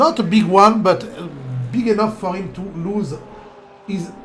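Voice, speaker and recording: A man's high-pitched voice in a French accent, with noticeable background noise and audible room echo. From France. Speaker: sim racing commentator. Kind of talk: live commentary; casual chat. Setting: live stream. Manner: animated.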